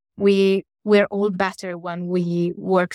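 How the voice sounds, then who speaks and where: An Italian accent in a dry, close sound with no echo, on a very clean recording with a silent background. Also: woman. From Italy. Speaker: academic. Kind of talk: interview.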